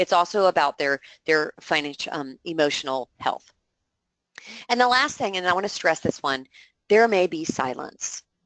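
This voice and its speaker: A woman's fairly low voice with very wide pitch swings and long, frequent pauses, in a dry, close sound with no echo. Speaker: fraud prevention educator. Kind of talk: webinar presentation. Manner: fast.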